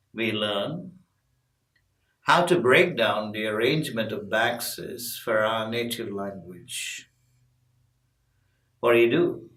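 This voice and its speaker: Amid audible room echo, a man speaks at a very slow pace and medium pitch with ordinary pitch variation and long, frequent pauses. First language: Tamil. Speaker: English pronunciation teacher. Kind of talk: tutorial. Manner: clear, deliberate.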